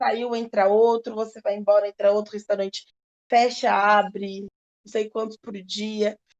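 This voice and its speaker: This woman talks at a fairly slow pace with a fairly high pitch and a normal speaking voice. The sound is dry and close, with no echo. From Brazil, southern Minas Gerais. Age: 20s. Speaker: chef. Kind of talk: podcast interview.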